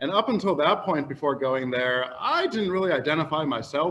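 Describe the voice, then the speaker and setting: This man speaks in an American accent at a moderate pace. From US Midwest, Cleveland Heights, Ohio. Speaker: high school English teacher, panelist. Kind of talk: panel discussion. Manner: loud.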